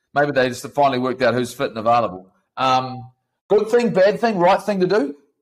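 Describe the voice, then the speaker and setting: A man with a New Zealand accent, fairly high in pitch, with very wide pitch swings. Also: fairly quick pace. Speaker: podcast host, rugby presenter. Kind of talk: casual debate.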